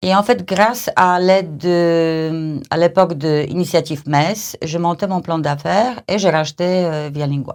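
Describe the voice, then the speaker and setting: In a very clean recording with a silent background, a woman with a fairly low pitch speaks at a fairly slow pace, with hardly any pauses and ordinary pitch variation. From Poland. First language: Polish (speaking French). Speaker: language training company manager. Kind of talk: podcast interview. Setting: studio. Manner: halting, many fillers.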